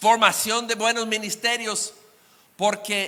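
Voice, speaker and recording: The voice is raised and projected, with a bright, sharp tone. It moves at a very slow pace. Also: man. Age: 60s. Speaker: guest preacher. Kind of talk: sermon.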